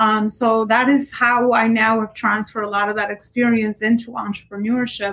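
This woman's voice sits fairly high, with a monotone, flat intonation and hardly any pauses. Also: moderate pace. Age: 30s. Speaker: entrepreneur and business coach. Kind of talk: casual interview.

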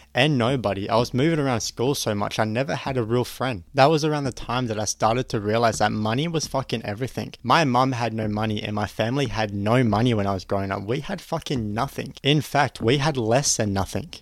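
In a very clean recording with a silent background, a man with an Australian accent talks at a fairly quick pace and medium pitch, with ordinary pitch variation and hardly any pauses. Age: 20s. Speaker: podcast host, online business coach. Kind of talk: motivational monologue. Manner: energetic.

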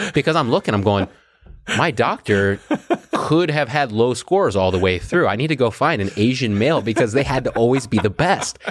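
A man speaks at a medium pitch with lively intonation and an ordinary speaking voice. His pace is fairly quick and his loudness stays very even. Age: 30s. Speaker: podcast host. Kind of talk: casual chat.

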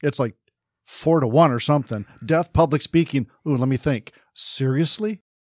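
A man in a normal speaking voice, fairly high-pitched with ordinary pitch variation, at a moderate pace, the sound dry and close with no echo. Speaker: podcast host. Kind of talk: casual interview. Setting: studio.

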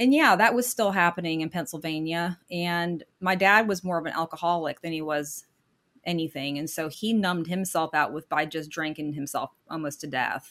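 In a plain, everyday voice, a woman with an American accent and a fairly low pitch speaks at a moderate pace with ordinary pitch variation in a very clean recording with a silent background. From Michigan, later US South. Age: 50s. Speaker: guest sharing her divorce story. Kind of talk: interview, personal testimony.

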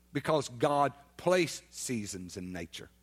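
A man talks with an Alabama accent. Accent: Southern US (Alabama). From US South, Baldwin County, Alabama. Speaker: guest preacher. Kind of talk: sermon. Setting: church.

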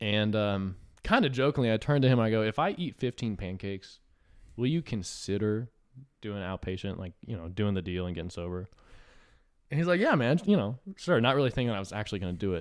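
In a very clean recording with a silent background, a man has an unremarkable speaking voice, fairly low in pitch, moving at a fairly quick pace with lively intonation. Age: 20s. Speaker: podcast guest in addiction recovery. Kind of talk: casual chat. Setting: studio.

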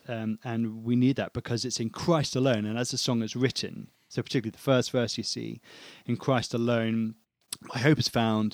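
Speaking fairly quickly in a flat monotone, a man of medium pitch with a British accent comes through dry and close with no echo. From England. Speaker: church member and worship musician. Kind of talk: casual chat. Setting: remote call.

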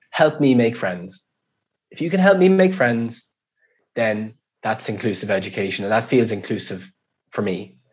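A man with an Irish accent speaks with long, frequent pauses. His pitch swings very widely and his loudness rises and falls sharply. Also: medium pitch for a man, moderate pace. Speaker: education policy official, former primary school principal. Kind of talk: interview.

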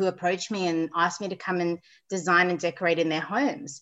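A woman talks at a fairly quick pace in a bright, sharp tone over a quiet background. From South Africa, lives in Sydney. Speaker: interior designer. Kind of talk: casual interview chat.

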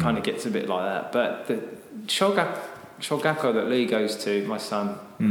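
A man speaks at a moderate pace with a British accent. There is noticeable background noise. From Britain. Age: 30s. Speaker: English teacher, school owner. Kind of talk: casual interview chat. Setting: echoey classroom.

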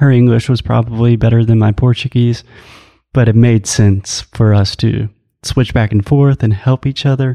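Against a quiet background, a man with an American accent speaks at a moderate pace and medium pitch, his loudness very even, his intonation monotone and flat, and the sound dry and close with no echo. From US South. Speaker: English teacher and co-host. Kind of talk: casual chat.

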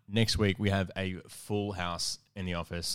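On a very clean recording with a silent background, a man with an Australian accent speaks in a very deep, low pitch with fairly even intonation. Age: 20s. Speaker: podcast host. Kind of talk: casual chat. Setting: studio.

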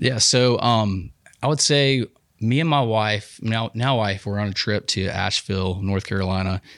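A man with an Alabama accent and a fairly low pitch talks at a moderate pace with ordinary pitch variation, in a very clean recording with a silent background. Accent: Southern US (Alabama). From Alabama, US South (Huntsville and Dothan). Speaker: clothing company owner. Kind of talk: casual interview. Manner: lots of filler words, halting.

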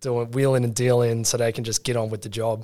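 A man of medium pitch with an Australian accent and monotone, flat intonation, in a very clean recording with a silent background. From Australia, western Sydney. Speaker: product manager. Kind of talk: casual chat.

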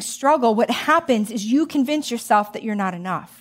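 A woman with an American accent, an animated tone and lively intonation at a moderate pace. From US Midwest, Joliet, Illinois. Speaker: guest preacher. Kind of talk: sermon.

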